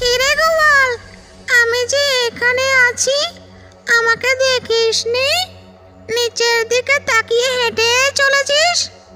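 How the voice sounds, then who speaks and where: Over music in the background, a female-sounding cartoonish character voice cackles at an extremely high pitch and a very slow pace. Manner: taunting, cackling.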